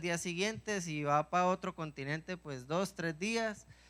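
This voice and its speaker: On a very clean recording with a silent background, a man speaks in an animated, bright, sharp tone at a high pitch with ordinary pitch variation. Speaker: preacher. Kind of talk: sermon.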